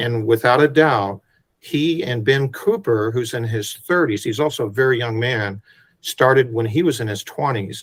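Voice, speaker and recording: At a moderate pace, a man with a medium pitch and a somewhat breathy voice speaks with ordinary pitch variation. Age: 60s. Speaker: photographer. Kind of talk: interview.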